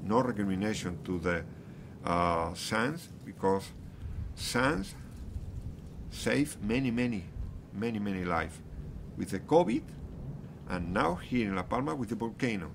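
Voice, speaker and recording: A man with a Spanish accent talks at a fairly slow pace with long, frequent pauses and lively intonation. His voice sits fairly low, with noticeable background noise behind it. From Canary Islands, Spain. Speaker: geology professor. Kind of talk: interview. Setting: outdoors near active volcano. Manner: halting, many repetitions and fillers. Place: street.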